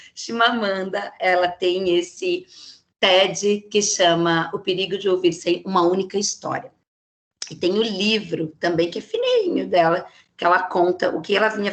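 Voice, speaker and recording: This woman's voice sits at a medium pitch and has an animated tone. She talks at a fairly slow pace. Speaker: psychologist giving a talk. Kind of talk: lecture.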